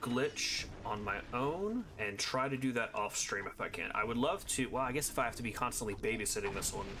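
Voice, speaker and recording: Over music in the background, a speaker with an American accent talks at a moderate pace with lively intonation. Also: man. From US East Coast. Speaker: video game streamer. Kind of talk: live gameplay commentary. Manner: casual, conversational.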